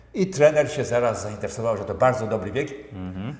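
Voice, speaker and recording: Medium-pitched male voice with audible room echo and noticeable background noise. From central Poland, Bełchatów area. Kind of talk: interview.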